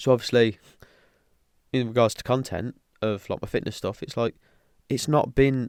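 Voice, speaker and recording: A man with a British accent and fairly even intonation, on a very clean recording with a silent background. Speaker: podcaster. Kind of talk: casual podcast talk.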